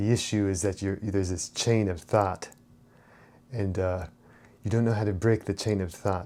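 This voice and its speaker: Dark and mellow in tone, the voice stays monotone, with flat intonation. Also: man, fairly low pitch for a man. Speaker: spirituality and self-help channel host. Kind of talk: unscripted monologue. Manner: fast; halting, many fillers and repetitions.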